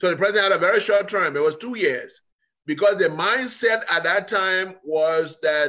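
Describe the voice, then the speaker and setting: This man's voice is high, bright and sharp. He speaks at a moderate pace in a raised, projected way. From Liberia. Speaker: political scientist; guest. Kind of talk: interview. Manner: halting. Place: kitchen. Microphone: video call.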